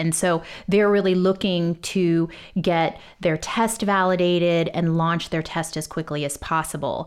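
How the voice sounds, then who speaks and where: On a very clean recording with a silent background, a woman with an American accent uses an ordinary speaking voice at a fairly low pitch, a moderate pace and ordinary pitch variation. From Texas. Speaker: genomics software executive. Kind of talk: interview.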